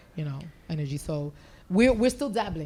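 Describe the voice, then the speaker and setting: In an ordinary speaking voice with an American accent, the speaker keeps a moderate pace. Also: woman. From New York. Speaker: city government official. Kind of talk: panel discussion.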